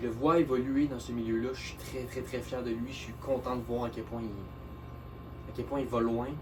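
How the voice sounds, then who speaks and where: Amid music in the background and audible room echo, a man at medium pitch speaks in a flat monotone at a moderate pace with hardly any pauses. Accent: Quebec. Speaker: underground rapper. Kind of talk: casual video monologue. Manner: hesitant, many fillers.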